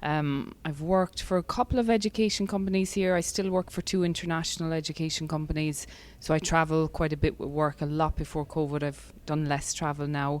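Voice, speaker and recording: A woman with an Irish accent, very deep and low in pitch, at a fairly quick pace with hardly any pauses and ordinary pitch variation. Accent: soft Irish accent, mellowed. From Ireland, West Cork. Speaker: breathwork and fitness specialist. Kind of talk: podcast interview.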